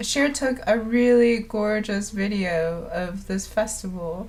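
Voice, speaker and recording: Speaking at a very slow pace, a woman is heard with audible room echo. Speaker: live-streaming developer. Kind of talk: live coding stream. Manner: casual, thinking aloud with fillers.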